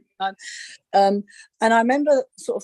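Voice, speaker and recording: Someone with a London accent talks at a moderate pace in a dry, close sound with no echo. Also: woman. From East London, England. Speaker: psychic medium and animal communicator. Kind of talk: interview on a live video call. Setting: video call. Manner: halting, many repetitions and fillers.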